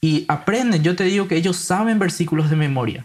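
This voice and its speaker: The speaker is a man with a high pitch. He talks fairly quickly. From Paraguay (grew up in San Lorenzo). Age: 20s. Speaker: Bible translator. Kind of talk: casual interview conversation.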